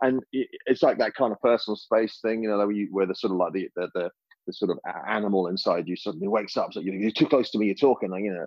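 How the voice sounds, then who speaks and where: This man speaks at a very fast pace. His pitch sits fairly low. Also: ordinary pitch variation. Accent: English. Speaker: creative director and food blogger. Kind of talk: casual chat.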